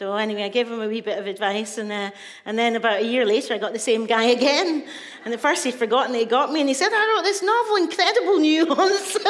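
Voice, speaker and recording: At a very fast pace, a woman speaks at a high pitch with very wide pitch swings. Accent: Scottish. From Scotland, Glasgow. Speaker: poet and author. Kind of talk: storytelling talk. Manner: animated.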